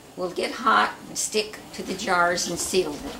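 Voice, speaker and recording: Someone talks at a moderate pace with an American accent over noticeable background noise. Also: woman. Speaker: farmer's daughter and local historian. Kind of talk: casual cooking demonstration.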